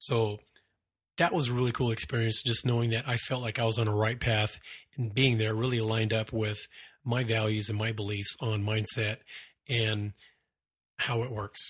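A man speaks in a monotone, flat intonation, somewhat breathy. His pace is moderate, with long, frequent pauses. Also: medium pitch for a man. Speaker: podcast host and military veteran. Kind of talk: casual monologue.

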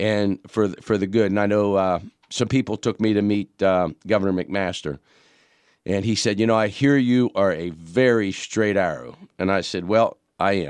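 A man with an American accent speaks in a plain, everyday voice at a fairly low pitch and moderate pace, with ordinary pitch variation, in a dry, close sound with no echo against a quiet background. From Pittsburgh, Pennsylvania. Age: 50s. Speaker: county councilman. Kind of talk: radio interview.

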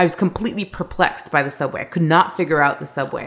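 Speaking very fast with vocal fry, a woman in a Canadian accent uses ordinary pitch variation. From Canada, Toronto. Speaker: travel TV host and blogger. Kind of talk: interview.

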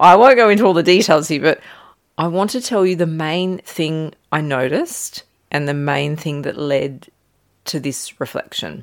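Speaking at a moderate pace with lively intonation, a woman with a very deep, low pitch is heard on a very clean recording with a silent background. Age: 40s. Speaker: yoga teacher and podcast host. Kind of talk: reflective solo podcast monologue. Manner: frequent laughter.

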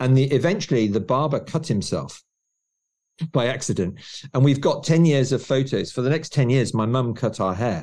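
Recorded very cleanly against a silent background, a man uses an ordinary speaking voice at a medium pitch and a moderate pace, with ordinary pitch variation. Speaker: author. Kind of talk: casual interview chat.

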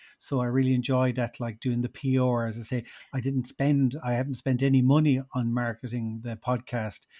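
In a Munster Irish accent, a man of medium pitch speaks at a moderate pace with hardly any pauses, a dark, mellow tone and monotone, flat intonation, in a very clean recording with a silent background and a dry, close sound with no echo. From Ireland, Tipperary. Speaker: podcast producer and hotel owner. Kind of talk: interview.

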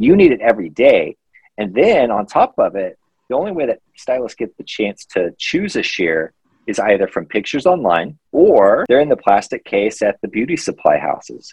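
With an American accent, a man speaks at a moderate pace in a dry, close sound with no echo. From Missouri. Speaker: shear sharpening business owner. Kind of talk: casual interview.

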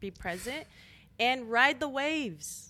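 A woman with an American accent speaks at a very slow pace in a bright, sharp tone with lively intonation, on a very clean recording with a silent background. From El Paso, Texas. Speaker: DJ and creative entrepreneur. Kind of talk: casual interview.

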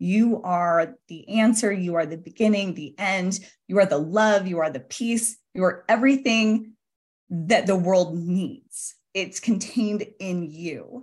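Over a quiet background, a woman with a Western US accent speaks fairly slowly at a medium pitch in an animated tone. Her voice is somewhat breathy, with ordinary pitch variation and big swings in loudness. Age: 40s. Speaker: author and entrepreneur. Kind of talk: interview.

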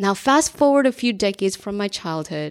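A woman with an American accent and a plain, everyday voice speaks at a moderate pace with lively intonation. The recording is very clean, with a silent background. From US Northeast, New Jersey. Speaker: career coach and podcast host. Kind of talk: personal monologue.

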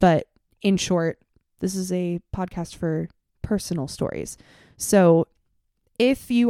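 On a very clean recording with a silent background, a woman's dark, mellow tone sits at a medium pitch, the sound dry and close with no echo. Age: 20s. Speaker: podcast host and high school teacher. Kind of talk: casual monologue.

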